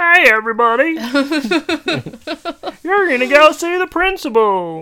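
At a moderate pace, a put-on character voice comes out high-pitched and guttural. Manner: simpering.

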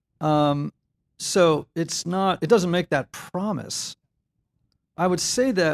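The speaker talks with an American accent at a very slow pace. The recording is very clean, with a silent background. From Connecticut, near New York City. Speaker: author and Enneagram teacher. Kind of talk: interview. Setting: church building.

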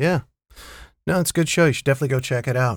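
Here a man uses an ordinary speaking voice. His pitch is medium, with ordinary pitch variation. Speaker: podcast host. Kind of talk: casual chat about TV shows. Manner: casual, conversational.

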